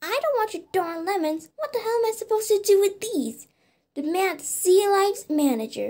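The speaker puts on a character voice at an extremely high pitch. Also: moderate pace. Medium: dub. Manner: angry, ranting.

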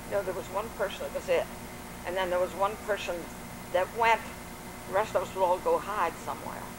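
Noticeable background noise sits behind a woman with an American accent talking at a fairly quick pace. Her intonation is flat and monotone, broken by long, frequent pauses. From Washington D.C. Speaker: grandmother telling oral history. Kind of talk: oral history interview answer. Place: garden.

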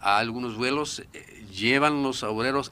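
The man's tone is bright and sharp. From Japan. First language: Japanese (speaking Spanish). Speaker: expert on secret military bases. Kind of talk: radio interview. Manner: halting, with many fillers.

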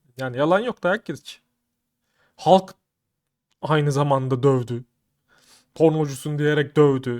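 Speaking at a fairly slow pace, a man has a fairly high pitch. The sound is dry and close with no echo, in a very clean recording with a silent background. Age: 30s. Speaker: YouTuber. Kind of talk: casual vlog commentary. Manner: animated.

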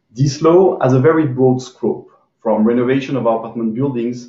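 Against a quiet background with audible room echo, a man speaks at a moderate pace, somewhat breathy, with fairly even intonation. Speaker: panelist. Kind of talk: webinar presentation. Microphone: video call.

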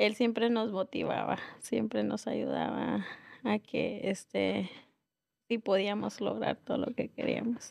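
A woman speaks at a very slow pace. Behind her, the background is quiet. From northern Mexico, Nuevo Laredo; Mexico. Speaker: restaurant owner; guest. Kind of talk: interview. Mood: calm, reflective. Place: studio. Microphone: studio mic.

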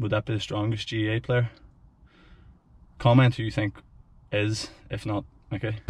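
Somewhat breathy and fairly low in pitch, a man speaks at a moderate pace in a monotone, flat intonation, with dry sound and no echo. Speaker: vlogger, strength coach. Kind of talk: casual vlog chat. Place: car. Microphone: phone near.

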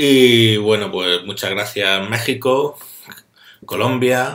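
A man with a Spanish accent speaks at a very slow pace in a monotone, flat intonation. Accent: Spanish (Spain). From Spain. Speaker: tutorial maker; course instructor. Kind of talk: video introduction; tutorial. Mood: warm, grateful. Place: home room. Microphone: webcam.

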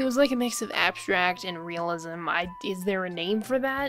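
A mumbling woman at a moderate pace, her pitch swinging very widely, with music in the background. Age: young. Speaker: artist. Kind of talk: casual art video voiceover.

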